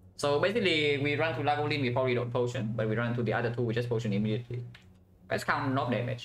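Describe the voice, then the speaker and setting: Over noticeable background noise and audible room echo, a man talks very fast at a very even loudness. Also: fairly even intonation. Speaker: game streamer. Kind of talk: live gameplay commentary. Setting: live stream.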